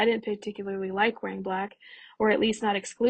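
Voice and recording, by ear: Fairly even intonation, reading aloud in a natural voice.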